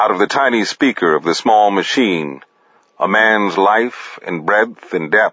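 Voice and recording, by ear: The speaker is reading aloud in a natural voice.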